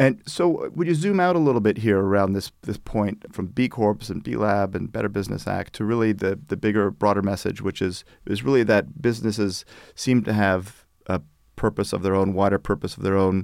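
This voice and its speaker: A man with an unremarkable speaking voice, fairly low in pitch, at a fairly quick pace with ordinary pitch variation, in a very clean recording with a silent background. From Canada. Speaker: podcast host. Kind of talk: interview conversation.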